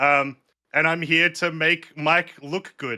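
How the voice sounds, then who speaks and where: A man's bright, sharp, fairly high voice with fairly even intonation on a very clean recording with a silent background. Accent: Australian. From Australia. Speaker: streamer and YouTuber, co-host. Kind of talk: casual podcast chat.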